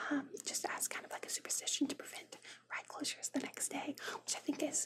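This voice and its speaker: A woman's fairly quick whispering. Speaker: ASMR content creator. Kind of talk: ASMR fact reading. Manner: whispered.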